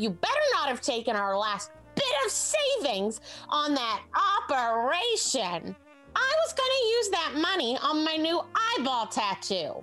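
A woman's high voice with very wide pitch swings, at a fairly slow pace, over clear music in the background. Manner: shrill, berating, contemptuous.

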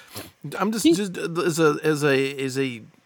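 A plain, everyday voice from a man with an American accent, fairly high in pitch with ordinary pitch variation, on a very clean recording with a silent background. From US Midwest, Michigan. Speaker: podcast co-host, car enthusiast. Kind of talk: casual chat.

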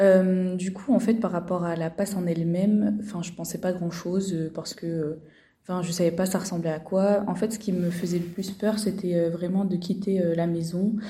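A woman speaks at medium pitch in a somewhat breathy, dark, mellow tone. Her intonation is monotone and flat, with audible room echo. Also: moderate pace. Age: 20s. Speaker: medical student. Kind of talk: testimony. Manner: hesitant.

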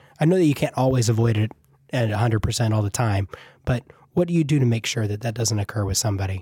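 A man's dark, mellow, somewhat breathy voice at a very fast pace, ordinary pitch variation, in a dry, close sound with no echo. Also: medium pitch for a man. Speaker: podcast co-host and instructor. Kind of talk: casual chat.

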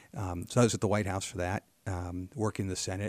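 Dry and close with no echo, a man with an American accent speaks in a very deep, low pitch with monotone, flat intonation. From Pennsylvania, Harrisburg area. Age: 50s. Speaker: state legislator and real estate businessman. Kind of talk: interview conversation. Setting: office.

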